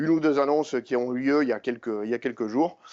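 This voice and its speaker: The pitch varies in an ordinary way. The speaker has a southern French accent. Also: man. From southern France, Montpellier. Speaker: tech company engineer presenter. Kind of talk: conference talk. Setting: conference session with audience. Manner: hesitant, many fillers.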